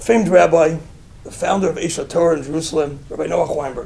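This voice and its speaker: A man at a very fast pace with an American accent, over noticeable background noise. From US Northeast, Brooklyn, New York. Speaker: rabbi. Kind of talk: inspirational talk with storytelling.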